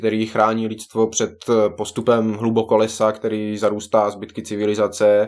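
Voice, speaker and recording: A man speaks at a fairly low pitch. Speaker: board game podcast host. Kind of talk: casual chat.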